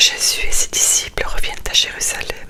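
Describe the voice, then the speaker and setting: A woman whispering in a soothing tone at a fairly slow pace, with noticeable background noise. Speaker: ASMR creator reading the Gospel. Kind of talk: whispered bedtime scripture reading. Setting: studio, close microphone. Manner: whispered, soft, slow, soothing.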